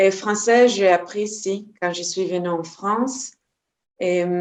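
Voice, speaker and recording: A medium-pitched woman's voice at a very slow pace, the intonation fairly even. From Israel. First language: Hebrew (speaking French). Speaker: energy healer and trainer. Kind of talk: interview. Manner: halting, many hesitations.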